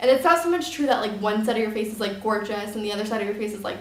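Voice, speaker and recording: A woman with a fairly high pitch is heard through audible room echo and noticeable background noise. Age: 20s. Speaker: model and photographer. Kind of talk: tutorial. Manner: casual, filler-heavy.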